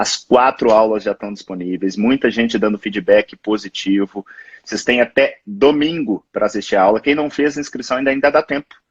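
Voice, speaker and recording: In a plain, everyday voice, a man talks at a moderate pace with a medium pitch and ordinary pitch variation, the sound dry and close with no echo. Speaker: physician, live show host. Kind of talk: live interview. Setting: Instagram live.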